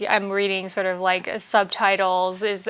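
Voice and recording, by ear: A woman speaks at a fairly slow pace with little pitch movement. Her tone is fairly bright. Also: medium pitch for a woman.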